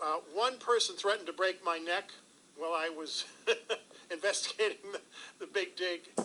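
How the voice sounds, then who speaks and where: A man speaks in a raised, projected voice, high in pitch, with ordinary pitch variation. He keeps a moderate pace but takes long, frequent pauses. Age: 60s. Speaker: former government official. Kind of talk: interview. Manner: loud.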